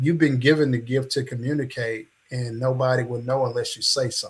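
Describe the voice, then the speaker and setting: Somewhat breathy, a man's medium-pitched voice stays monotone and flat at a moderate pace. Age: 60s. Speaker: podcast host and coach. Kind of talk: interview podcast.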